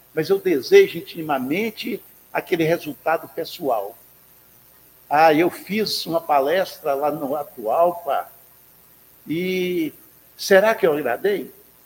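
A man with a high pitch speaks at a very slow pace. His delivery has long, frequent pauses and ordinary pitch variation. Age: 70s. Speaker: spiritist lecturer. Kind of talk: sermon. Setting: spiritist center with live audience.

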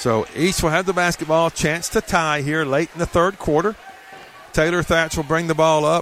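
A man with a fairly high pitch speaks at a moderate pace and very even loudness over noticeable background noise. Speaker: play-by-play announcer. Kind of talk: live sports commentary, play-by-play. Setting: gym, at high school basketball tournament.

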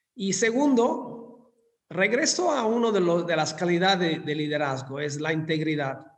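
A man with an Italian accent speaks at a high pitch with lively intonation. The recording has audible room echo. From southern Italy (Scilla, Calabria). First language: Italian (speaking Spanish). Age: 50s. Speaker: hotel industry executive. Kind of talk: interview.

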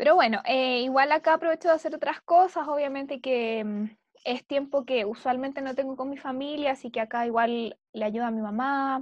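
Against a quiet background, a woman speaks at a moderate pace in a high pitch with ordinary pitch variation, and the sound is dry and close with no echo. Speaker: podcast co-host. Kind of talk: casual chat.

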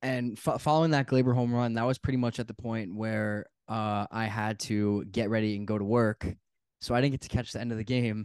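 This man has a plain, everyday voice at medium pitch with fairly even intonation. He talks at a fairly quick pace against a quiet background. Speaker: sports podcast host. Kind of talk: casual chat.

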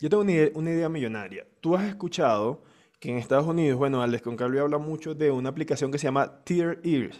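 The background is quiet as a man talks at a very fast pace. His pitch is fairly high, with ordinary variation. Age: 30s. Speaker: podcast host. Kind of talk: casual chat.

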